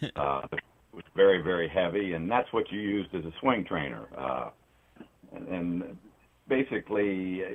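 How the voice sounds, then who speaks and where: With a very deep, low pitch and lively intonation, a man talks at a moderate pace. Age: 60s. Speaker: golf training aid business owner, former pro golfer. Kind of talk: phone interview. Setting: phone call.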